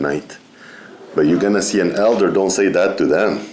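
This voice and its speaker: A man with a non-native accent at a moderate pace, with audible room echo. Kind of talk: seminar talk. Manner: halting, with many fillers.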